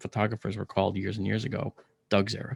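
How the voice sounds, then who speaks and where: A man with an American accent speaks at a fairly low pitch, with vocal fry. The sound is dry and close with no echo, in a very clean recording with a silent background. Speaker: astronomer. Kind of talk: interview.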